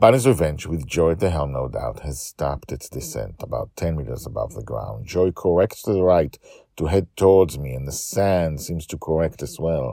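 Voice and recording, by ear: Putting on a character voice, a man speaks at a moderate pace in an extremely low pitch with a dark, mellow tone, vocal fry and lively intonation.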